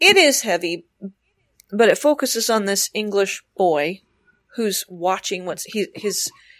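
On a very clean recording with a silent background, a woman talks at a fairly slow pace in an ordinary speaking voice with ordinary pitch variation. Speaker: podcast co-host. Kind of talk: casual chat about books.

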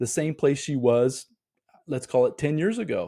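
Lively intonation rides on a dark, mellow tone. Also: man. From US Midwest, Indiana. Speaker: podcast host, motivational speaker. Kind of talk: solo motivational monologue. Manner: occasional stammering, fillers.

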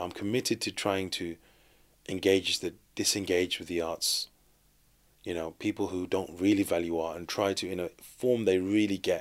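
A man with a Birmingham accent speaks at a moderate pace. His voice is very deep and low, with fairly even intonation. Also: very clean recording, silent background. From Birmingham, England (Sparkbrook). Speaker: street artist. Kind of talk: interview. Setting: studio.

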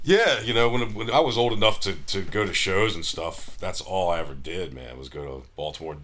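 With an American accent, a man talks at a fairly quick pace, his voice showing vocal fry and very wide pitch swings. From US, Maryland (Frederick). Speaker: musician. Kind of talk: casual chat. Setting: hotel room.

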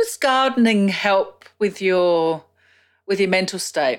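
A woman with an Australian accent speaks at a very slow pace with medium pitch and lively intonation on a very clean recording with a silent background. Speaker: podcast host. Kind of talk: interview.

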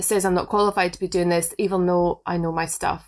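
A Scottish accent on a very clean recording with a silent background. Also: woman. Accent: Scottish, smoother than Inverness. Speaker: podcast co-host. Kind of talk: casual chat. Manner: laughs a lot, chatty.

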